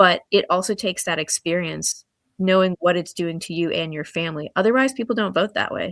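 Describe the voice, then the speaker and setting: A woman with an American accent has a normal speaking voice at medium pitch with ordinary pitch variation. She talks at a fairly quick pace, and the sound is dry and close with no echo. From Hampton Roads, Virginia. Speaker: congressional candidate, doctor and lawyer. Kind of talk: interview.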